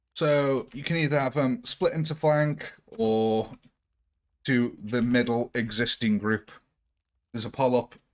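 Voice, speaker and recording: In a British accent, a man speaks at a medium pitch and a fairly slow pace. Long, frequent pauses break up his speech. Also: ordinary pitch variation. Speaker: gaming streamer. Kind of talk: live gameplay stream. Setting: live stream. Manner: casual, chatty.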